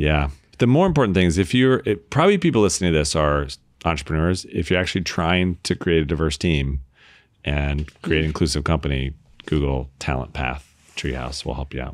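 This man's voice is very deep and low in pitch, with vocal fry. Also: ordinary pitch variation, fairly quick pace. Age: 40s. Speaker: tech company founder. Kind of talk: casual chat.

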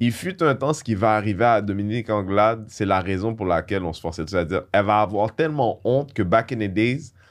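Against a quiet background, a man with a fairly low pitch and an unremarkable speaking voice talks at a fairly quick pace with hardly any pauses and ordinary pitch variation. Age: 40s. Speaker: comedian. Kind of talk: casual chat.

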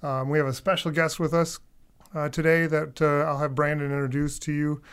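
His intonation stays fairly even and his pitch fairly high. The man speaks in a plain, everyday voice. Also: very clean recording, silent background. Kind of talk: podcast chat.

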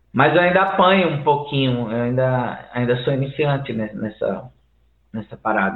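Here is a plain, everyday voice. A man speaks at medium pitch and a moderate pace, with ordinary pitch variation. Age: 40s. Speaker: musician and game audio student. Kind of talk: casual chat.

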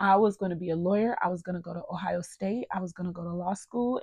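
Against a quiet background, the somewhat breathy voice keeps a fairly even intonation. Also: woman. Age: 30s. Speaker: podcast host. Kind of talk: casual personal monologue.

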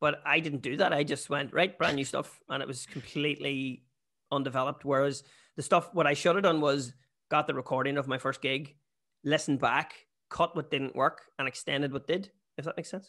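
Against a quiet background, a man in a Northern Irish accent speaks at a fairly quick pace with a bright, sharp tone, fairly high pitch and fairly even intonation. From Northern Ireland. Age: 30s. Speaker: comedian. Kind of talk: casual chat. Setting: video call.

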